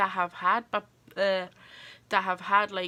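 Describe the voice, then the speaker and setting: A woman with an Irish accent speaks at a medium pitch in a bright, sharp tone. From Ireland. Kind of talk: casual talk to camera.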